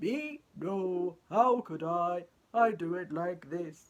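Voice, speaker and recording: A woman speaks in a put-on character voice at a fairly low pitch and a very slow pace. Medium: read story.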